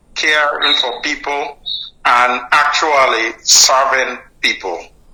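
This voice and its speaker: A man's fairly high voice with a Nigerian accent, at a very slow pace, with ordinary pitch variation and noticeable background noise. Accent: Nigerian, kept. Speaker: doctor, guest sponsor. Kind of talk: interview. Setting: studio.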